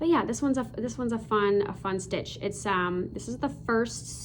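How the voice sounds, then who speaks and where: Audible room echo around a woman at a moderate pace, in an American accent. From US Midwest (Chicago and Michigan City, Indiana). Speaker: cross stitch video creator. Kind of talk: casual hobby show-and-tell. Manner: halting, many fillers.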